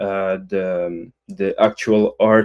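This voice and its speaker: A man with a Quebec accent in a monotone, flat delivery, dry and close with no echo, on a very clean recording with a silent background. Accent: French-Canadian accent in English. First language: French. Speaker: crypto community member. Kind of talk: casual chat. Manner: halting, many fillers.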